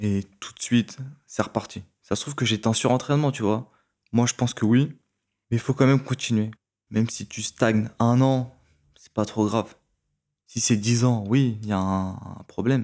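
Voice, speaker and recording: Against a silent background in a very clean recording, a man of medium pitch speaks at a moderate pace with fairly even intonation, big swings in loudness, and long, frequent pauses. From France, Créteil (Paris suburbs). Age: 20s. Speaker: former pro swimmer and swim coach. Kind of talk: casual chat. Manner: direct.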